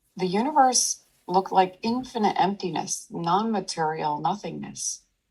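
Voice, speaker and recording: Her soothing, calm tone carries vocal fry as a medium-pitched woman speaks with ordinary pitch variation. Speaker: meditation teacher. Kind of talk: meditation talk to an audience.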